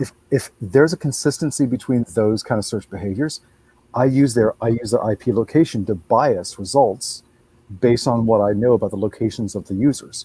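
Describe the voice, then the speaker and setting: Male voice with a medium pitch, somewhat breathy, with a dark, mellow tone, fairly quick pace, ordinary pitch variation, and a dry, close sound with no echo. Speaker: search engine expert. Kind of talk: webinar panel discussion. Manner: fast.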